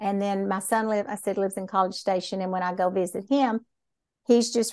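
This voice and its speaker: In a Texan accent, a woman speaks at a fairly quick pace with a medium pitch and fairly even intonation. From Texas. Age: 60s. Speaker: dyslexia therapist. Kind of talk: casual interview chat.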